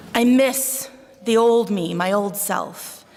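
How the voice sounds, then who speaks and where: A woman's fairly high voice with a Buffalo accent and ordinary pitch variation, with noticeable background noise and audible room echo. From Buffalo, New York. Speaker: psychologist. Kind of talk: conference talk. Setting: stage with audience.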